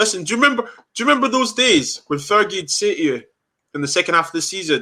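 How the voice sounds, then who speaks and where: Speaking very fast in a raised, projected voice, a man with a high pitch and a bright, sharp tone swings his pitch very widely. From London, then Scotland. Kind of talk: casual chat. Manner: animated.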